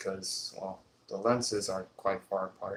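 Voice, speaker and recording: A man with a fairly low pitch and a somewhat breathy voice speaks at a fairly slow pace in a monotone, flat intonation. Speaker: cosplayer streamer. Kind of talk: casual live stream chat. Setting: live stream.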